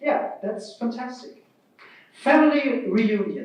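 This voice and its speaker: A man with a German accent talks at a high pitch with ordinary pitch variation, and room echo is audible. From Germany. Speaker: keynote speaker, open-source project vice president. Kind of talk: keynote speech.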